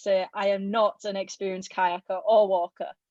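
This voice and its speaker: A woman talks with a Yorkshire accent. Her pitch is medium. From northern England, Halifax, West Yorkshire. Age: 20s. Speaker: adventurer and former diving coach. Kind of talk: presentation talk.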